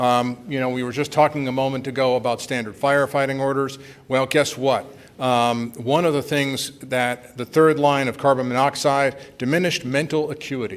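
Fairly even intonation from a man talking at a moderate pace. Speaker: conference presenter. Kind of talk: lecture. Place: hall.

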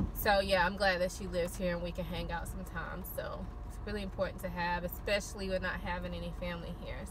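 There is noticeable background noise. Over it, a woman speaks at a fairly quick pace. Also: dry sound with no echo. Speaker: vlogger. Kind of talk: casual vlog chat. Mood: happy, relaxed. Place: car. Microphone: phone near.

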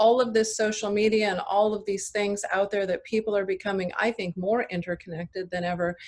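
A woman's flat, monotone delivery at a fairly quick pace. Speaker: biotech company CEO. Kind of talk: panel discussion. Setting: video call. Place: home room. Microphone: video call.

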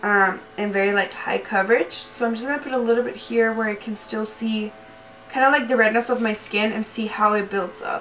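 Speaking at a fairly quick pace with a slight Spanish accent, a woman has a fairly high pitch and ordinary pitch variation, with light background noise. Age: 20s. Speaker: beauty YouTuber. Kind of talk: casual talk to camera, makeup review. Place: home room.

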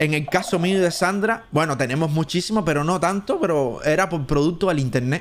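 Over noticeable background noise, a high-pitched man with a Cuban accent talks fairly quickly in an animated tone, with hardly any pauses. His loudness stays very even and his pitch varies in an ordinary way. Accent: Cuban Spanish, drops S sounds. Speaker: gaming streamer. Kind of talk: live stream commentary. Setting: live stream.

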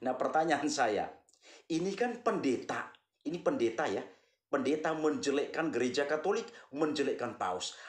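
In a quiet room with audible echo, a man speaks at a moderate pace in a fairly high voice with very wide pitch swings. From Flores, eastern Indonesia. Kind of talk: monologue, commentary on religion. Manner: repetitive, earnest, addresses audience warmly. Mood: critical, scolding. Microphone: phone near.

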